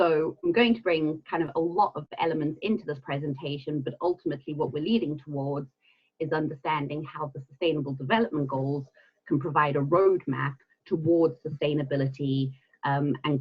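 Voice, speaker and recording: At a moderate pace, the speaker talks with a slight South African accent. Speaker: environmental consultant and trainer. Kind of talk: webinar presentation. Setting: online webinar.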